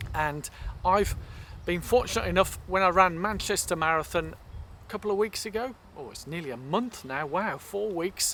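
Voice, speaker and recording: A man with an English accent speaks at a moderate pace in a high voice, his bright, sharp tone showing ordinary pitch variation. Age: 60s. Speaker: masters runner vlogger. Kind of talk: casual vlog chat.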